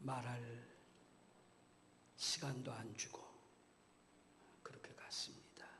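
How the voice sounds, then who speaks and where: A man whispers at a very slow pace, leaving long, frequent pauses. Audible room echo and noticeable background noise surround him. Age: 60s. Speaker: guest pastor. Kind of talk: sermon. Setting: church.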